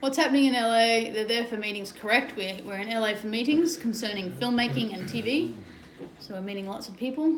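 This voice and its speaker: There's audible room echo around this woman's fairly high voice. She speaks fairly quickly with an Australian accent. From Sydney, Australia. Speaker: travel and adventure vlogger. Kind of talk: casual livestream chat.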